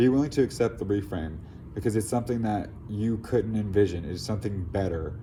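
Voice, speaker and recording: With a dark, mellow tone and vocal fry, a man talks at a fairly quick pace in a fairly low pitch with ordinary pitch variation. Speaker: tarot reader. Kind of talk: tarot reading to camera. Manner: casual, rambling with fillers.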